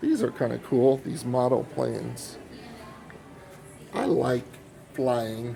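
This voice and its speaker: Over music in the background, a man with an American accent speaks at a very slow pace, with long, frequent pauses. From Oklahoma, Tulsa. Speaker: first amendment auditor, video blogger. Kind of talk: walking vlog narration. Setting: inside an airport, filming.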